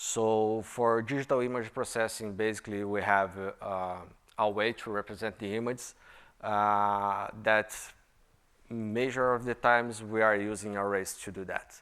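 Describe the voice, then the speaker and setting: A man with a Brazilian Portuguese accent, fairly slow and monotone in flat intonation, on a very clean recording with a silent background. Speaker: software engineer and conference speaker. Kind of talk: conference talk. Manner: halting, many fillers.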